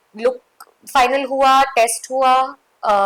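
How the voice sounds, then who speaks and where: The woman's voice sits at a high pitch. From Mumbai, India. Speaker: actress. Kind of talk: interview.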